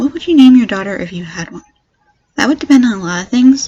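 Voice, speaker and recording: The speaker is a woman. She has an American accent. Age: 20s. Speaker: YouTuber. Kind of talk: Q&A tag video. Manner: fast.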